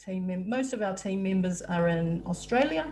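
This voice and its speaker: A woman with a New Zealand accent speaks at a medium pitch, her voice somewhat breathy. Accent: New Zealand (Kiwi). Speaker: software support staff, webinar host. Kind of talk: webinar presentation. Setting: video call (Zoom webinar). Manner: hesitant, many filler words.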